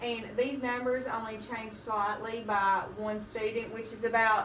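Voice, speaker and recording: A woman in a Southern US accent, flat and monotone, at a fairly slow pace, with noticeable background noise. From Kentucky. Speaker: elementary school teacher. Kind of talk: academic presentation.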